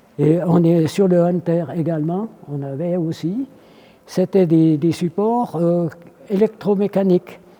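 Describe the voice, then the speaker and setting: A man talks at a very slow pace with a high pitch for a man. His pitch varies in an ordinary way, and noticeable background noise is present. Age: 80s+. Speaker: military aircraft armourer, veteran of the Swiss army. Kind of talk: interview answer.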